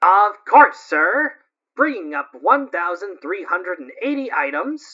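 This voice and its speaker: A female-sounding voice uses a put-on character voice at a medium pitch for a woman. Her pitch swings very widely, and her pace is fairly slow. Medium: audio drama. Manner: polite, precise.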